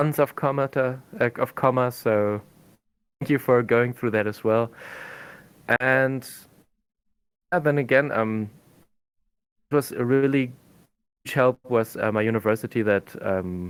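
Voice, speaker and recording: A man with a German accent, medium pitch and ordinary pitch variation, at a fairly slow pace with long, frequent pauses, in a very clean recording with a silent background. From Germany. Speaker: language teacher and researcher. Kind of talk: podcast interview. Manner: halting.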